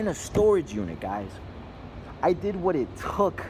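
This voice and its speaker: A man's high-pitched voice with a Spanish accent. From Mexico. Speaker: business owner vlogger. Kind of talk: casual vlog monologue. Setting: gym.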